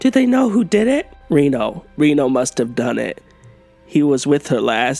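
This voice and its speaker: A man does a put-on character voice that is raspy and croaky, pitched fairly high for a man, at a moderate pace with faint music in the background. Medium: read story.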